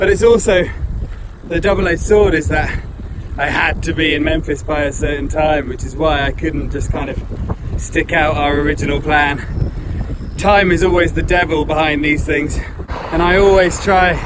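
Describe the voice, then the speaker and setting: Against noticeable background noise, a man with a fairly high pitch keeps a moderate pace and fairly even intonation. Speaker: adventurer on a bike tour. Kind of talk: video diary talk to camera. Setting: outdoors.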